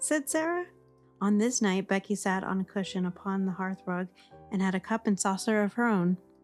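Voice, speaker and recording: A woman at a medium pitch talks at a moderate pace in a calm, soothing tone while music plays in the background. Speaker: audiobook narrator. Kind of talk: sleep story reading of a classic novel. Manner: calm, soft, soothing.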